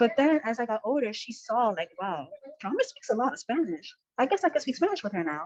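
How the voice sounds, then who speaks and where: With an American accent, a woman speaks at a high pitch and a fairly quick pace. Her pitch swings very widely. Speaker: college student. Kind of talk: casual chat.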